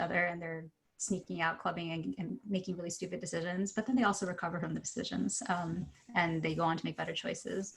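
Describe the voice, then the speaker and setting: A woman's fairly low, somewhat breathy voice in an American accent, fairly quick in pace and fairly even in intonation. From Ohio. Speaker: novelist. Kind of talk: panel talk.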